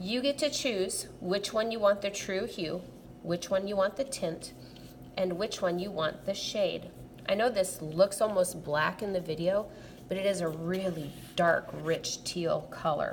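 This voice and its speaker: At a fairly slow pace, a woman speaks in a plain, everyday voice with a medium pitch and ordinary pitch variation. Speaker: art teacher. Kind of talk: tutorial.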